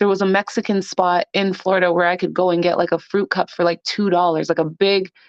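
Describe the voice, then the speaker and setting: A woman with a normal speaking voice talks at medium pitch and a moderate pace. The sound is dry and close with no echo, over a quiet background. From Canada, Toronto. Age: 20s. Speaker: podcast guest. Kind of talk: casual interview chat. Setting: phone or remote call.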